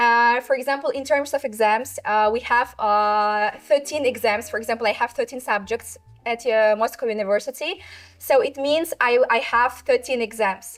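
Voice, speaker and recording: A woman with a Russian accent, high pitch, ordinary pitch variation and a moderate pace, on a very clean recording with a silent background. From Russia, Tatarstan. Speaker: university student. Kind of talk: interview. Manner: halting.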